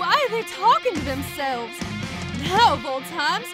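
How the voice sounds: With clear music in the background, a woman uses a cartoonish character voice at an extremely high pitch, moving at a fairly slow pace with big pitch swings.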